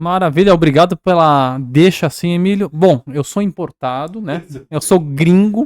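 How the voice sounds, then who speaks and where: With a Spanish accent, a man talks at a fairly slow pace in a high pitch, the sound dry and close with no echo. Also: ordinary pitch variation, very clean recording, silent background. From Peru (Cusco), raised in São Paulo, Brazil from age 4-5. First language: Spanish (speaking Portuguese). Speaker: artist. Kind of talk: casual podcast interview.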